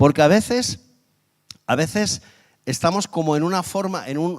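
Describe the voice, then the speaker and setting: The man's tone is animated, with lively intonation. He speaks at a fairly slow pace. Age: 50s. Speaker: guest preacher. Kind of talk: sermon.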